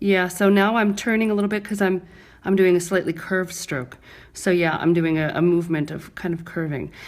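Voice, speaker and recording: Here a woman talks with an American accent at a medium pitch. Her pace is fairly quick, and her pitch varies in an ordinary way. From New York (Brooklyn). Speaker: microblading artist and trainer. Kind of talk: live demonstration tutorial. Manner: clear, careful diction.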